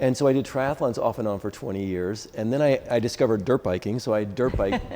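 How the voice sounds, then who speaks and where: A man with a medium-pitched voice and ordinary pitch variation speaks very fast against noticeable background noise. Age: 60s. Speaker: dentist and masters CrossFit athlete. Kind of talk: interview. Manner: halting.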